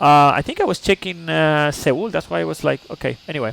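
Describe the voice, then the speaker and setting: A man with a Chilean accent talks at a fairly quick pace. The sound is dry and close with no echo, though background noise is noticeable. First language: Spanish. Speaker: flight simulator streamer. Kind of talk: live-stream flight briefing. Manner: halting.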